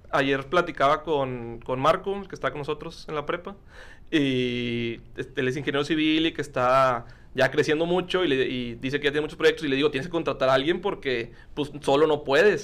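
Here a man speaks in a plain, everyday voice with a fairly high pitch. His pace is moderate and his pitch variation ordinary. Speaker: podcast host. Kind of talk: casual interview chat.

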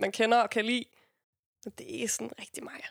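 On a very clean recording with a silent background, a woman speaks fairly quickly at a fairly high pitch with fairly even intonation. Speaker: rapper. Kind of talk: casual chat.

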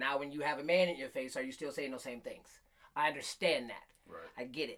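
In a normal speaking voice with an American accent, a man talks at a fairly quick pace, fairly high in pitch with ordinary pitch variation. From Michigan, Flint. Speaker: podcast host. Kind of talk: casual chat.

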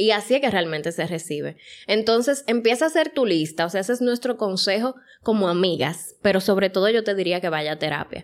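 Speaking at a fairly quick pace, a woman with an unremarkable speaking voice keeps a medium pitch and lively intonation. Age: 30s. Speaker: podcast co-host. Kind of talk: casual chat.

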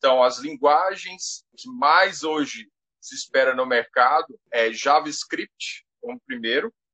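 This man has a fairly high pitch and speaks at a very slow pace. His pitch swings very widely. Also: big swings in loudness. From Brazil, Goiás. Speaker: technology teacher. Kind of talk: live interview. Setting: Instagram live.

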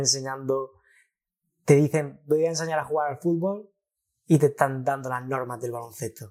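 A man's dark, mellow voice at a fairly high pitch, fairly even in intonation but with big swings in loudness, at a moderate pace with long, frequent pauses, on a very clean recording with a silent background. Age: 20s. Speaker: trader. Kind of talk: casual chat.

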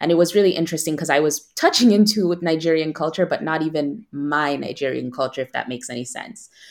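On a very clean recording with a silent background, a woman with an American accent and a very deep, low pitch talks at a very fast pace with hardly any pauses and ordinary pitch variation. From United States. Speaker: content creator. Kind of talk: casual interview.

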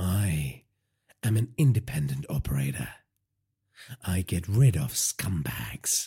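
A man puts on a character voice that is extremely low, husky with a rough edge, dark and mellow in tone, swinging widely in pitch at a slow pace, on a very clean recording with a silent background.

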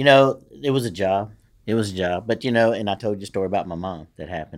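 Speaking very fast with a Louisiana accent, a man shows ordinary pitch variation. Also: very clean recording, silent background. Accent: Louisiana Southern. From Louisiana, Shreveport. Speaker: retired police lieutenant. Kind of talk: casual chat.

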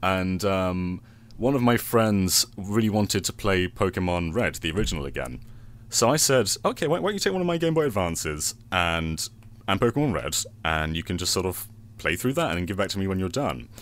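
A man's very deep, low voice in a British accent, fairly quick and with lively intonation. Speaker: podcast guest and game video creator. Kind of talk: casual chat.

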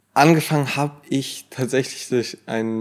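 Over a very clean recording with a silent background, a man speaks with monotone, flat intonation. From Germany, small village. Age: 20s. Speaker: social media creator. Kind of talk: casual chat.

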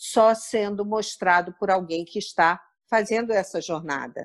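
In a normal speaking voice, a woman talks fairly slowly at medium pitch with ordinary pitch variation over a quiet background. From Rio de Janeiro suburbs, Brazil. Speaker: corporate travel speaker and author. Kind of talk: interview.

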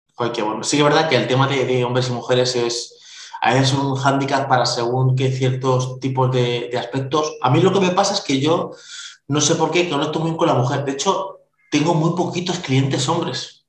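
There is audible room echo around a man's voice. He talks at a moderate pace with ordinary pitch variation. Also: fairly high pitch for a man. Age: 40s. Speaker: podcast host. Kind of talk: interview.

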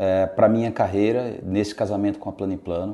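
The man keeps a moderate pace and a medium pitch. He uses a normal speaking voice. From Brazil, Rio Grande do Norte (Natal). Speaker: real estate sales director. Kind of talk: interview.

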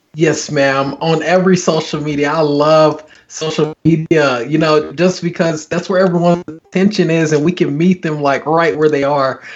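In a plain, everyday voice with an American accent, the speaker talks at a moderate pace with fairly even intonation and hardly any pauses. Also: man, fairly high pitch for a man. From US, military family; Oklahoma, Kansas, Texas. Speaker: pastor and author. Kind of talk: interview testimony.

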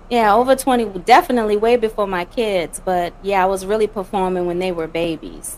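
In an American accent, a woman speaks at a medium pitch with ordinary pitch variation. She talks fairly quickly with hardly any pauses. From Louisiana, US South. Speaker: poet and spoken word artist. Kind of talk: interview answering questions.

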